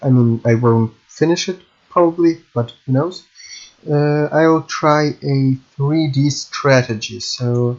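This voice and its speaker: A man with a Russian accent, speaking at a very slow pace, with ordinary pitch variation. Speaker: game programming YouTuber. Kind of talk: tutorial. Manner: halting.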